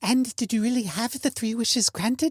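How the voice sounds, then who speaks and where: A put-on character voice with a fairly high pitch. It moves at a fairly quick pace. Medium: read story. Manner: calm, polite.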